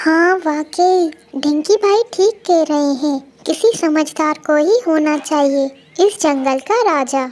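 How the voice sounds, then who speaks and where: A woman speaks in a cartoonish character voice, high-pitched and squeaky. Her pace is fairly slow. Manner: sincere, earnest.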